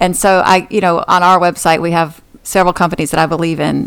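With an American accent, a woman talks at a moderate pace in a plain, everyday voice pitched fairly low. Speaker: podcast host. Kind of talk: interview.

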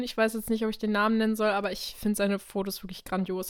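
A woman's fairly high-pitched voice. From Krefeld, western Germany. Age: 20s. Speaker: podcast co-host and model. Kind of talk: casual chat. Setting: remote recording over the internet.

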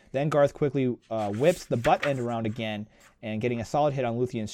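A natural voice reading aloud, pitch varying in an ordinary way

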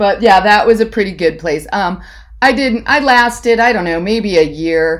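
A woman with an American accent uses a normal speaking voice at medium pitch with lively intonation. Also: moderate pace. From Ohio, US (Hudson). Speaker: college alumna guest. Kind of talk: casual chat.

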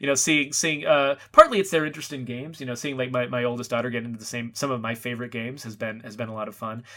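A very fast pace with hardly any pauses, a bright, sharp tone, fairly even intonation and big swings in loudness. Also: man, medium pitch for a man. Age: 40s. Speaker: video game designer. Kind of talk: casual interview. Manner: halting, many repetitions and fillers.

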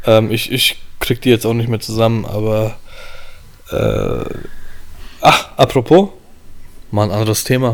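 Long, frequent pauses break up a man's fairly slow speech. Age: 30s. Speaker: wedding photographer. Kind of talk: casual chat.

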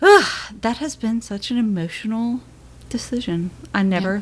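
A woman speaks at a moderate pace and a medium pitch, somewhat breathy, with ordinary pitch variation. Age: 30s. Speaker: podcast co-host and mother. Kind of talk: casual chat.

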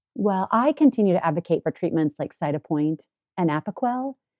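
Lively intonation marks an ordinary speaking voice moving at a moderate pace. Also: woman. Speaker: veterinary dermatologist. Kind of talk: casual interview.

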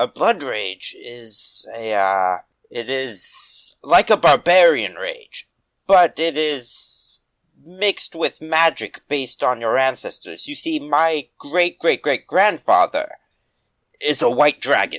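At a fairly slow pace, a man performs a put-on character voice in a fairly high pitch. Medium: actual play. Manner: slow, plain, stilted.

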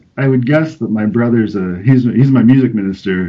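Here a man speaks with an ordinary speaking voice. His pitch is fairly low and his pace fairly quick. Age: 30s. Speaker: pastor. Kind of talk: casual interview chat.

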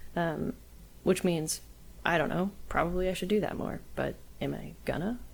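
A woman talks at a moderate pace. Her pauses are long and frequent. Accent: American. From Texas, near Austin. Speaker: musician and songwriter. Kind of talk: interview. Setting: remote call over the internet. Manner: hesitant, many fillers.

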